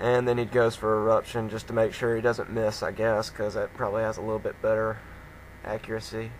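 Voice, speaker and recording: A man's fairly quick, monotone, flat delivery amid noticeable background noise. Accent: Alabama. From Alabama. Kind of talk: game commentary voice-over.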